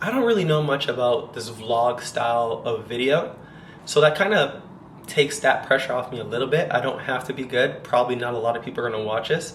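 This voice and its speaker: Amid noticeable background noise and audible room echo, a man with a Canadian accent talks at a fairly quick pace, his medium pitch varying in an ordinary way. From Canada, Toronto. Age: 30s. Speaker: vlogger and dancer. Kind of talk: casual vlog monologue. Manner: fast.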